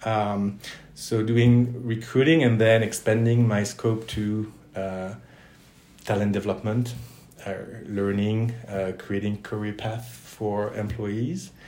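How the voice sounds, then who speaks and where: In a room with audible echo, a man with a fairly low pitch and a dark, mellow tone speaks at a fairly slow pace with fairly even intonation. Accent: French. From Southwest France, Toulouse. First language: French. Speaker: career center director. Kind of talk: interview.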